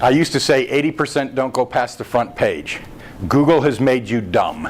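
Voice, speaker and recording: Over noticeable background noise, a man with an American accent speaks at a moderate pace in a medium pitch, with ordinary pitch variation. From United States. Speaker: internet marketing speaker. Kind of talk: presentation at a meetup. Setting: meetup room with audience. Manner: informal, joking.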